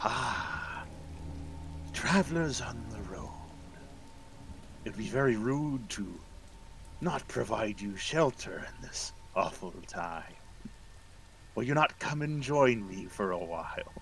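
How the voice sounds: A man in a put-on character voice at medium pitch, with very wide pitch swings, a fairly slow pace and long, frequent pauses, over clear background noise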